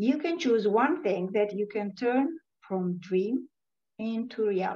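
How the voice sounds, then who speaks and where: A woman with a Romanian accent speaks at a fairly slow pace and a fairly high pitch, her dark, mellow tone somewhat breathy and her intonation lively. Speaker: leadership coach and author. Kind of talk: conference talk.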